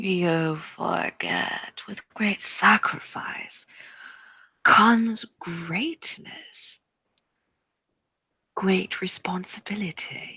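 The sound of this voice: A woman whispers in a put-on character voice with a husky, rough edge and vocal fry. She goes at a very slow pace with long, frequent pauses.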